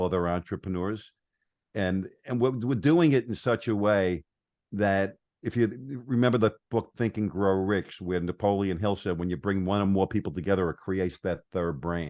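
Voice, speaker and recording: With an American accent and a normal speaking voice, a man talks at a moderate pace in a fairly low pitch with ordinary pitch variation against a quiet background. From New York. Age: 60s. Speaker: entrepreneur and marketer. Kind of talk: podcast interview.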